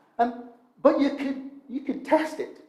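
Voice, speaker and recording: A man with an extremely high pitch and a dark, mellow tone speaks amid audible room echo. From Northern Ireland, Coleraine. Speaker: preacher. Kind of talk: sermon.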